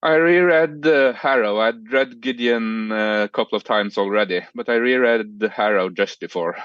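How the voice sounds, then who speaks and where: Speaking in a Norwegian accent, a man talks at a moderate pace with hardly any pauses. His pitch is medium, and the background is quiet. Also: ordinary pitch variation. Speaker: podcast guest, romance reader. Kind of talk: casual chat. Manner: halting, many fillers.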